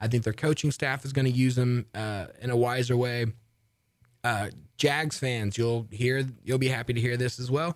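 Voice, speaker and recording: This man has a normal speaking voice at medium pitch, speaking at a moderate pace with fairly even intonation on a very clean recording with a silent background. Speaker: sports radio host. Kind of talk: casual sports talk radio show. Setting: studio.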